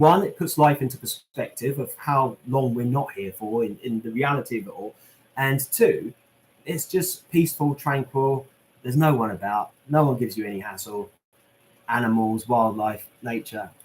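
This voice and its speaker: Somewhat breathy, a man speaks at a medium pitch. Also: ordinary pitch variation. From southern England, Portsmouth. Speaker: YouTuber visiting celebrity graves. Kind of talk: live stream Q&A reading chat. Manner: fast; casual, chatty.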